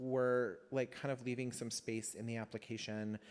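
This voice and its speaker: This is a man with an ordinary speaking voice. His intonation is fairly even. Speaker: community council member. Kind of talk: meeting discussion.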